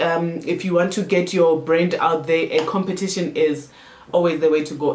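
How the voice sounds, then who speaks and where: A moderate pace and an animated tone over noticeable background noise. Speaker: marketing consultant and YouTuber. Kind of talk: tutorial.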